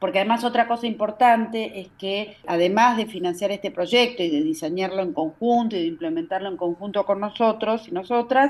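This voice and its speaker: A woman talks at a fairly quick pace. Her medium pitch shows ordinary variation. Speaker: NGO director. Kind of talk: interview. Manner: fast.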